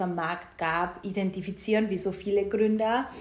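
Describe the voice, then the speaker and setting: A woman with a Styrian accent at medium pitch, speaking fairly slowly amid noticeable background noise and audible room echo. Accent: Austrian German (Styrian). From Austria, Styria, rural. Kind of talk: casual interview.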